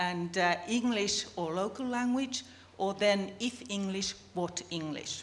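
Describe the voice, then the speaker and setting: Speaking very slowly in a Finnish accent, a woman at a medium pitch shows ordinary pitch variation, with noticeable background noise and audible room echo. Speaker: business communication researcher. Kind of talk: conference presentation.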